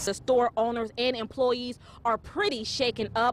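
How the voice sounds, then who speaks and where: A woman's high voice at a moderate pace over noticeable background noise. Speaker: TV news reporter and anchor. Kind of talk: TV news reporting, anchor read.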